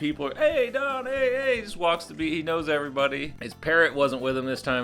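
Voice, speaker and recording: A man speaks very fast with lively intonation and a fairly high pitch, with music playing in the background. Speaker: podcast host. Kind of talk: podcast intro.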